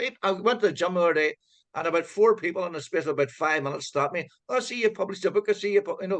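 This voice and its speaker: With a Donegal accent, a man speaks very fast at a high pitch with ordinary pitch variation. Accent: Donegal Irish. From Ireland, County Donegal (Letterkenny). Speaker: author. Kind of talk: casual chat. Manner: halting.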